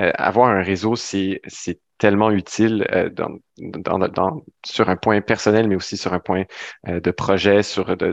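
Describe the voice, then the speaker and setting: A man's very deep, low voice, flat and monotone, in a dry, close recording with no echo. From Ontario, Sudbury. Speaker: flight attendant and youth ambassador. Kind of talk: interview.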